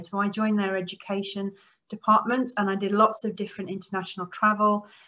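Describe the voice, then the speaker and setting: A woman with an English accent speaks at a fairly quick pace in a fairly high pitch, her tone bright and sharp. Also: very clean recording, silent background. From Norway and Netherlands, English family. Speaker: computing lecturer. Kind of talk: keynote talk. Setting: virtual conference. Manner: frequent um fillers.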